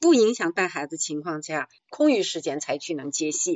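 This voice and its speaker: Speaking at a moderate pace, a woman's voice makes very wide pitch swings. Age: 60s. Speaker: retiree turned amateur actor. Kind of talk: call-in talk show conversation. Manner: halting, many fillers.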